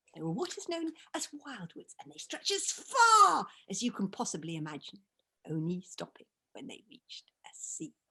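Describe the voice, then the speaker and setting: At a moderate pace, a raspy put-on character voice speaks at a middle pitch. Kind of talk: storyteller narration. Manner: grand.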